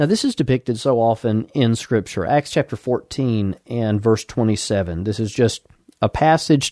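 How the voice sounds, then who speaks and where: A man with an Alabama accent talks at a moderate pace in a medium pitch with ordinary pitch variation. The sound is dry and close, with no echo. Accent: Southern US (Alabama). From Alabama, US South. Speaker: pastor. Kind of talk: sermon, radio broadcast. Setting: radio broadcast. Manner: formal, measured.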